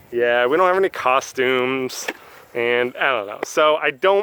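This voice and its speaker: The speech comes at a fairly slow pace with ordinary pitch variation, dry and close with no echo, over noticeable background noise. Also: man. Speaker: vlogger. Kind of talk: casual chat. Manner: loud.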